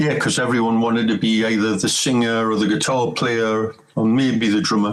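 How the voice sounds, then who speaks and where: A man with a Geordie accent, medium pitch and a moderate pace, with noticeable background noise behind him. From northern England, Newcastle. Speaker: rock bassist and singer. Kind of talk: casual chat.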